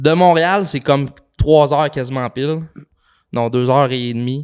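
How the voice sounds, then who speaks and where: In a Quebec accent, a man speaks at a fairly slow pace. His pitch is fairly high and his intonation fairly even. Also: very clean recording, silent background. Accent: Québécois French. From Quebec, Saint-Méthode (Frontenac). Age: 20s. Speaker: podcast co-founder. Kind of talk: casual chat.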